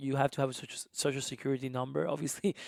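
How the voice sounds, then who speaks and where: A man with a strong Honduran accent speaks at a very fast pace in a fairly high pitch, the sound dry and close with no echo. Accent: thick Spanish (Honduran). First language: Spanish. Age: 20s. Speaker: musician and immigration advocate. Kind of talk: casual interview chat. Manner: animated.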